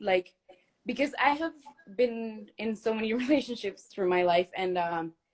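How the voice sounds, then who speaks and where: Speaking at a moderate pace in a Spanish accent, a woman uses a fairly high pitch and lively intonation. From Mexico. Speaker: fan caller on a livestream. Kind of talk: casual chat. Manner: halting.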